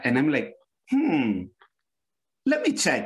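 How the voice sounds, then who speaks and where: A man with an American accent and vocal fry, moving through very wide pitch swings at a moderate pace. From New York City, Lower East Side. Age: 50s. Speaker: history professor. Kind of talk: academic panel discussion.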